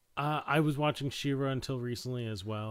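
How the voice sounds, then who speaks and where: A man with a plain, everyday voice speaks at a moderate pace with ordinary pitch variation. The recording is very clean, with a silent background. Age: 30s. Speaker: film podcast host. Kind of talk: casual chat.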